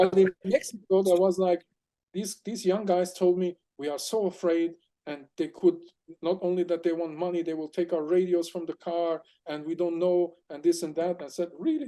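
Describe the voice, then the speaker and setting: A man with a German accent speaks at a high pitch. His dark, mellow tone keeps a moderate pace. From Germany. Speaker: aquatic explorer and crustacean expert. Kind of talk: interview storytelling. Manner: animated.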